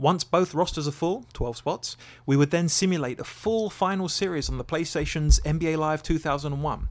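On a very clean recording with a silent background, a man with an Essex accent speaks at a moderate pace in a fairly high pitch. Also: ordinary pitch variation. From England, Essex. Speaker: podcast co-host. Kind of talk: casual chat. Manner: animated.

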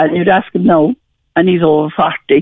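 Here a woman speaks with a Cork accent. Her pace is moderate. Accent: Cork Irish. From rural Ireland, County Cork area. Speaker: bereaved mother. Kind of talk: radio phone-in testimony.

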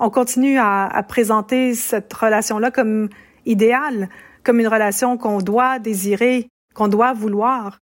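A woman's plain, everyday voice, fairly high in pitch, at a fairly slow pace with fairly even intonation and very even loudness, on a very clean recording with a silent background. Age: 50s. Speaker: professor of feminist studies. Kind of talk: interview.

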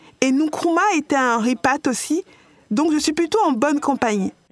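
Speaking fairly slowly with lively intonation, a woman sounds dry and close with no echo. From New York, US. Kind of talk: podcast interview.

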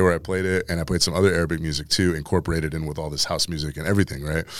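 This man has an American accent, and the recording is very clean with a silent background. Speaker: DJ and content creator. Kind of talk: casual interview chat.

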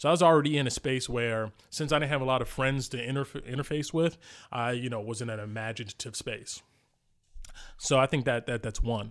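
A man with an American accent talks at a fairly quick pace in a normal speaking voice, with medium pitch and fairly even intonation. The recording is very clean, with a silent background. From New Jersey, inner city. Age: 30s. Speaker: podcaster and game master. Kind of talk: casual chat.

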